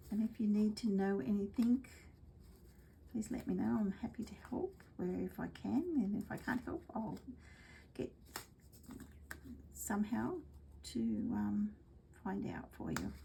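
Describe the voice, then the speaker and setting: Speaking with an Australian accent, a woman goes at a fairly slow pace with long, frequent pauses. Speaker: craft demonstrator. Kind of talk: craft tutorial livestream. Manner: goes quiet when concentrating; casual, chatty.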